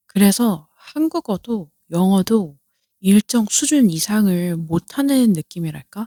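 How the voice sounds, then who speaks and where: In a very clean recording with a silent background, a woman talks very slowly with a dark, mellow tone and lively intonation, the sound dry and close with no echo. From South Korea. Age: 30s. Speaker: podcaster. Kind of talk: casual chat.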